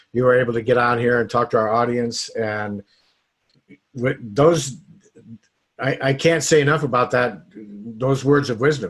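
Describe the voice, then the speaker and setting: This man speaks at a fairly slow pace in a medium pitch with a normal speaking voice. His intonation stays fairly even. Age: 60s. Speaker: network marketing coach. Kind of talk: interview. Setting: home office.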